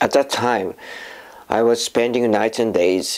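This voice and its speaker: A man with a Japanese accent talks at a medium pitch with fairly even intonation. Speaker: filmmaker and voice actor. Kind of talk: personal testimony. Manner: halting, with fillers.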